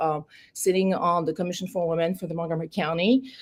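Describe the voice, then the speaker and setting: With a French accent, a woman speaks at a fairly low pitch with fairly even intonation. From France. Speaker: political candidate. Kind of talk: interview. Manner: halting.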